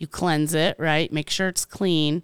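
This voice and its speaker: A woman speaks at a fairly slow pace with a fairly low pitch and a normal speaking voice, recorded very cleanly with a silent background and a dry, close sound with no echo. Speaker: podcast host. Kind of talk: casual chat.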